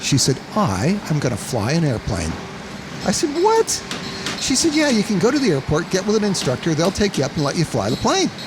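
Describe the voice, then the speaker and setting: Speaking at a fairly quick pace with an American accent, a man makes very wide pitch swings over noticeable background noise. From Colorado, US. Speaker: seaplane operator and pilot. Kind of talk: interview. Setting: outdoors by a road.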